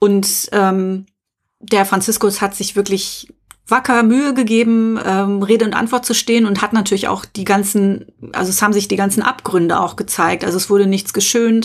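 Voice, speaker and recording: Her voice is an unremarkable speaking voice, a woman at a medium pitch with fairly even intonation and a moderate pace. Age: middle-aged. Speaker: podcast co-host. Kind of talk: personal testimony.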